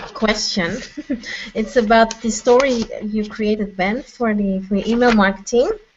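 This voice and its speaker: Noticeable background noise sits behind a woman with a non-native accent. Her pitch is fairly high and her intonation monotone and flat. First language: not English. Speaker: course student. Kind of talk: Q&A question. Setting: video call.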